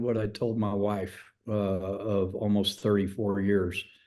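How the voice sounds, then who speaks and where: Against a quiet background, a man with an American accent talks in a dark, mellow tone. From Texas, Amarillo. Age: 60s. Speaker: former baseball manager. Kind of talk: interview.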